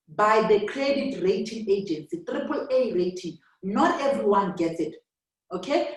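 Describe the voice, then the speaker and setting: Speaking at a fairly slow pace, a woman sounds somewhat breathy as her pitch swings very widely. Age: 30s. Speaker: network marketing director. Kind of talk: business presentation. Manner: hesitant, many fillers.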